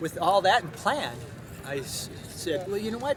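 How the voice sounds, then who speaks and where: A man at a moderate pace with lively intonation, plus noticeable background noise and audible room echo. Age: 60s. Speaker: ultra runner. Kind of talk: post-race interview. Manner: halting, many restarts.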